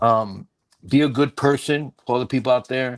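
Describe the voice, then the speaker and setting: With a plain, everyday voice, a man speaks at a fairly slow pace, at a medium pitch with ordinary pitch variation. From Puerto Rican from the Bronx, New York. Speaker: stand-up comedian. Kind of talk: podcast interview answer, motivational advice.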